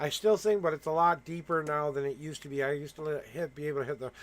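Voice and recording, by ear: A man speaks fast with a fairly high pitch. His intonation stays fairly even.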